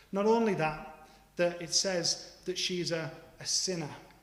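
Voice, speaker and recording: A high-pitched man with fairly even intonation, audible room echo and noticeable background noise. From northeastern England, Middlesbrough. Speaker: preacher. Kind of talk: sermon.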